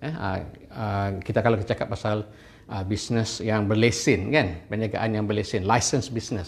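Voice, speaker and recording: A man speaks at a moderate pace in a fairly low, somewhat breathy voice with fairly even intonation, and the room echo is audible. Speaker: university finance lecturer. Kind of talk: online lecture. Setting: live stream with camera and whiteboard.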